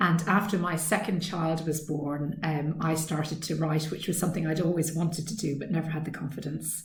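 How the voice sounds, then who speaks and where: With an Irish accent, a woman speaks fairly quickly and somewhat breathily at a fairly low pitch, her intonation monotone and flat, with hardly any pauses. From west of Ireland. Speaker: author. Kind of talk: recorded author Q&A talk. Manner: hesitant, many ums.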